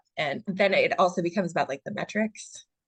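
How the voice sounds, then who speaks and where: A woman's voice with fairly even intonation comes across dry and close, with no echo. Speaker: author. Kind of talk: casual chat. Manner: quiet; halting.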